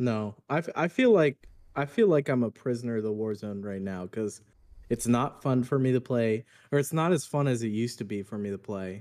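This man has an ordinary speaking voice at a medium pitch, with ordinary pitch variation and a fairly quick pace. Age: 30s. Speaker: car salesman, gamer streamer. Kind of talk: casual chat.

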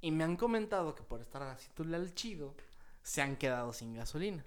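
Speaking with a Mexican accent, this man has a fairly high pitch and lively intonation. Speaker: podcast co-host. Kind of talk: casual chat.

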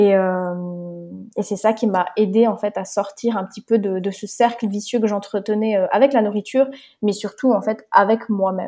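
Fairly high-pitched yet dark and mellow in tone, a woman speaks at a moderate pace with fairly even intonation. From Switzerland. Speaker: life coach and nutrition advisor. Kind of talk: casual interview chat.

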